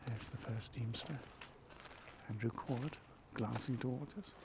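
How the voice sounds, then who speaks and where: Quiet and medium-pitched, a man speaks with ordinary pitch variation against noticeable background noise. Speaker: live ceremony commentator. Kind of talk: live commentary. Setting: outdoors in a small gazebo. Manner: speaking quietly.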